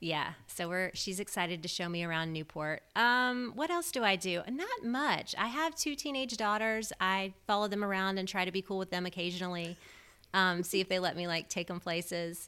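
A woman's voice at medium pitch, with a bright, sharp tone. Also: ordinary pitch variation, moderate pace. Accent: American. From US South, Memphis, Tennessee. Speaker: pop culture podcaster and book content creator. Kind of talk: casual interview.

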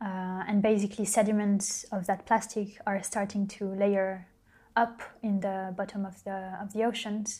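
A woman speaks at a very slow pace, her voice somewhat breathy. The recording is very clean, with a silent background. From France. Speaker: designer and visual artist. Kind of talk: interview.

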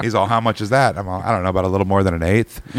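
A man with an American accent has an unremarkable speaking voice, ordinary pitch variation, and a dry, close sound with no echo. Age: 40s. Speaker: musician. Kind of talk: casual chat.

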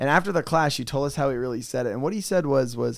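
A man's fairly high-pitched, ordinary speaking voice. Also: very clean recording, silent background. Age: 30s. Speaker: podcast co-host. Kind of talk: casual chat.

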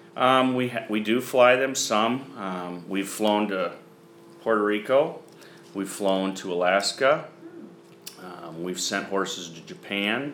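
A man talks very slowly, his loudness swinging widely, with audible room echo and noticeable background noise. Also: fairly low pitch for a man, ordinary pitch variation. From US Midwest (eastern Iowa). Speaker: horse farm general manager. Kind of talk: interview. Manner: hesitant with fillers.

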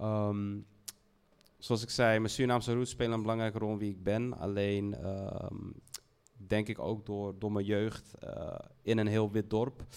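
The speech moves at a fairly slow pace with long, frequent pauses and a monotone, flat intonation. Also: man, fairly low pitch for a man. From Netherlands, Heemskerk near Haarlem. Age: 30s. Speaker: fashion brand founder. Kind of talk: panel discussion. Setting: stage with audience.

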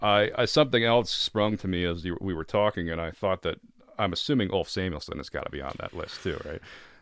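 Very fast speech comes from a man with an American accent and a fairly low pitch. His pitch variation is ordinary, and the recording is very clean with a silent background. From northern Connecticut. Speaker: podcast host. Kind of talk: casual chat. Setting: studio.

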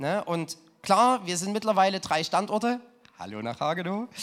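Ordinary pitch variation at a moderate pace. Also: man. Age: 20s. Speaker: pastor. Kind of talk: sermon. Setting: church.

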